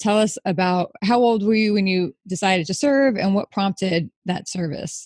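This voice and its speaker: Dry and close with no echo, the recording carries a woman's medium-pitched voice with ordinary pitch variation. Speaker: podcast host. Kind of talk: scripted intro; interview. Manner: fast.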